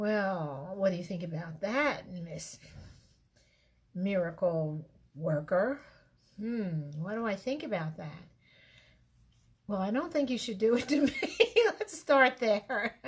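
A somewhat breathy woman speaks at a medium pitch, very slowly, with long, frequent pauses. Her pitch swings very widely against a quiet background. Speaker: relationship advice host. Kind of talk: casual talk to camera. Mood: reflective, mildly playful. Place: home room. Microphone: webcam.

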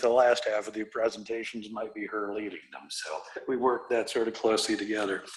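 A man with a Midwestern US accent talks at a very fast pace with ordinary pitch variation, against noticeable background noise. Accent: US Midwest. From Iowa. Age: 60s. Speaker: real estate developer. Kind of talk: presentation to city council. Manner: halting, many fillers.

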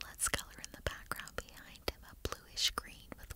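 A woman is whispering. Her pace is fairly slow. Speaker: ASMR creator. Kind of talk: ASMR coloring narration. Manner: soft-spoken, whispering, calming.

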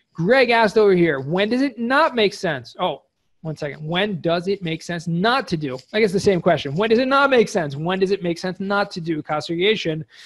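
A man speaks at a fairly quick pace in a high voice with lively intonation. The background is quiet. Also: hardly any pauses. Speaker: cost segregation specialist; presenter. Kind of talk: webinar presentation. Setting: video call. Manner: fast talker.

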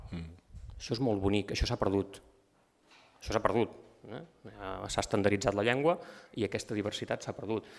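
The pace is moderate, with ordinary pitch variation. Long pauses come often. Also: man, fairly low pitch for a man. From Empordà, Catalonia (Begur); Catalonia. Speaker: writer presenting a book. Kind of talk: book presentation talk. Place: hall.

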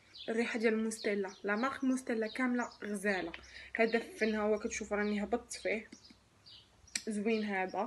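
Through light background noise, a woman with a Moroccan accent speaks at a moderate pace with fairly even intonation. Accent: Moroccan Darija. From Morocco. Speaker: lifestyle vlogger, mother. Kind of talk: product review vlog. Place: home room. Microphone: phone near.

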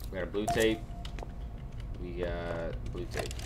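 Backed by music, the talking proceeds fairly slowly. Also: man. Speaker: gamer. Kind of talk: gameplay commentary. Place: home room.

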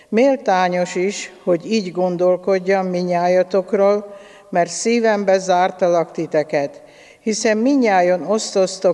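The woman talks very slowly, and the background is quiet. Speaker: lay scripture reader. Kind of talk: liturgical reading. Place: church.

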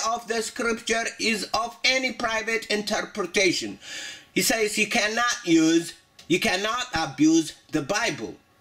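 A man with a high pitch talks at a fairly slow pace with very wide pitch swings, over noticeable background noise. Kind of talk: commentary video. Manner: halting.

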